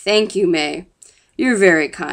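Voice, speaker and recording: A woman's put-on character voice, raspy and medium-pitched, with lively intonation. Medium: read story. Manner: calm, measured.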